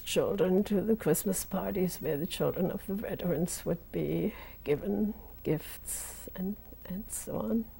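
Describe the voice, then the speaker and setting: With a dark, mellow tone and vocal fry, a woman speaks fairly slowly at a medium pitch. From Germany. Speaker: Holocaust survivor. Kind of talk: oral history interview. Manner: halting.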